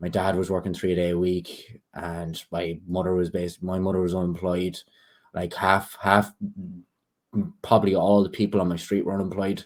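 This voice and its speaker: Someone with an Irish accent speaks at a moderate pace in a flat, monotone way. The recording is very clean, with a silent background. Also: man, very deep, low pitch for a man. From Ireland. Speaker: political activist. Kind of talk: casual interview.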